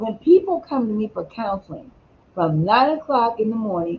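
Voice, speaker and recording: A woman speaks at a fairly high pitch with very wide pitch swings. Her pace is moderate. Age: 60s. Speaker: talk show host and counselor. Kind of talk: casual discussion.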